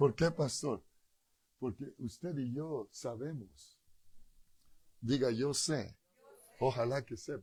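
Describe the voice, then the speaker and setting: A dark, mellow, somewhat breathy voice moves at a very slow pace with long, frequent pauses and ordinary pitch variation. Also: man, medium pitch for a man. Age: 60s. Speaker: pastor. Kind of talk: sermon. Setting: church.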